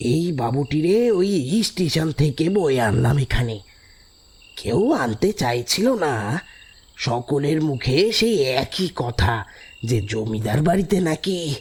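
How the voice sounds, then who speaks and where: Using a put-on character voice, a man speaks at a fairly slow pace and fairly high pitch, with very wide pitch swings and very even loudness. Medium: audio drama. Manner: folksy, chatty.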